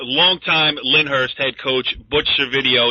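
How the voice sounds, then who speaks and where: A man's normal speaking voice with an American accent, fairly even intonation and a fairly slow pace. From northern New Jersey, Bergen County. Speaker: sports talk show host. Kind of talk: sports talk show.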